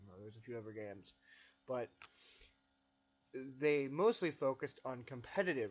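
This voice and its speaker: A man speaks quietly. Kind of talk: personal reflective narration.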